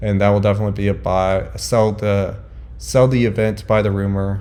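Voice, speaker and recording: A man is speaking in a room with audible echo. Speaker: crypto investing vlogger. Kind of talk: casual market commentary.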